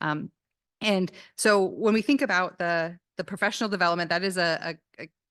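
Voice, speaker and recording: At a medium pitch with ordinary variation, a woman talks at a fairly quick pace, her sound dry and close with no echo against a quiet background. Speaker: business college dean. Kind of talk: speech at campus event. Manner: fast; hesitant with fillers.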